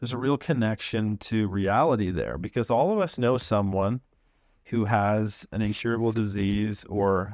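A man with a Canadian accent and an ordinary speaking voice: fairly low pitch, ordinary pitch variation, moderate pace, quiet background. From Canada, London, Ontario. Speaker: biotech company CEO. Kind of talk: interview.

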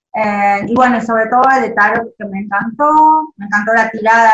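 A woman's ordinary speaking voice, fairly high in pitch, with ordinary pitch variation. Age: 40s. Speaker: listener and beginner tarot reader. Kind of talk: casual chat. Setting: video call.

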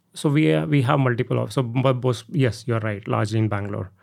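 A man in an Indian accent, with ordinary pitch variation. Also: very clean recording, silent background. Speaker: tech company CEO. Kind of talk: interview. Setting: studio. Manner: hesitant, many fillers.

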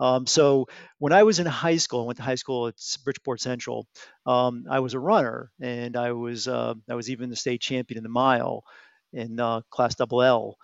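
This man has an unremarkable speaking voice, medium in pitch, and talks at a moderate pace with an American accent. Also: fairly even intonation. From Connecticut, US. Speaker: retired aerospace engineering executive. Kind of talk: podcast interview.

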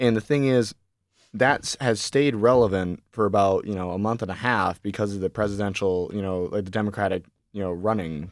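In a very clean recording with a silent background, a man talks at a fairly quick pace in an unremarkable speaking voice, fairly low in pitch, with ordinary pitch variation. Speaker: student and producer of a campus parody news show. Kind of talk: casual chat. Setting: studio.

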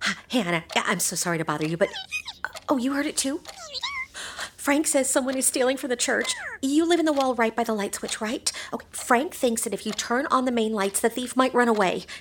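A woman talks at a fairly quick pace with lively intonation. Background noise is noticeable. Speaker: mouse character in audio drama. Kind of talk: fairy-tale audio drama, acted dialogue. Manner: sweet, worried, doting.

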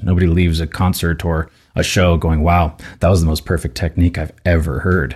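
On a very clean recording with a silent background, a man speaks with a very deep, low pitch and a dark, mellow, somewhat breathy tone. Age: 30s. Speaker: voice teacher and opera singer. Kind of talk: casual chat. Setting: studio.

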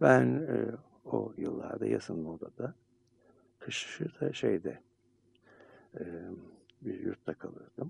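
A man speaking at a very slow pace. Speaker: radio host and psychiatrist. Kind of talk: casual chat.

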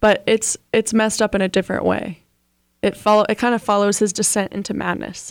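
A plain, everyday voice moves at a fairly quick pace in a dry, close sound with no echo. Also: woman, medium pitch for a woman. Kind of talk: radio DJ patter, bantering sign-off and station ID. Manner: playful, bubbly, quick back-and-forth with co-host.

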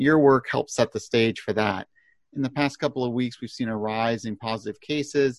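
A man's normal speaking voice, medium in pitch, at a moderate pace with fairly even intonation. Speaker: podcast host and newsletter publisher. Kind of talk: casual professional discussion. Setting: remote video call.

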